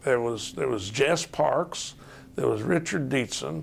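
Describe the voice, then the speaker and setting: A man with a Southern accent, lively intonation and vocal fry at a fairly slow pace. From US South, Chattanooga, Tennessee. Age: 70s. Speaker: retired state supreme court justice. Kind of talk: oral history interview.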